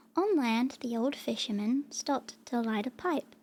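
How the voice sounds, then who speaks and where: Soft-spoken and dark, mellow in tone, a woman speaks in a high pitch with ordinary pitch variation. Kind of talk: storybook narration read aloud.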